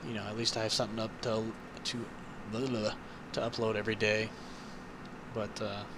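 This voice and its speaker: With audible room echo, a soft-spoken speaker with an American accent talks fairly quickly in a flat monotone, pausing long and often. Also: man, fairly low pitch for a man. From Ohio, US Midwest. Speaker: gaming YouTuber. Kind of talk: gameplay commentary. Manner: halting, many fillers; quiet, soft-spoken.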